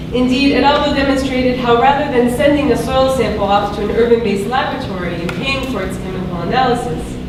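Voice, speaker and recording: A high-pitched woman's voice at a very fast pace with hardly any pauses, over noticeable background noise. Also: ordinary pitch variation. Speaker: academic researcher. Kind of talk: conference talk. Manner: soft-spoken.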